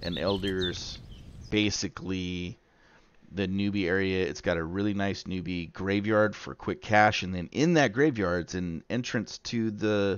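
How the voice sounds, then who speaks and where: An unremarkable speaking voice from a man, fairly low in pitch, with ordinary pitch variation and a fairly slow pace. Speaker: gaming youtuber. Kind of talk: tutorial. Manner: casual.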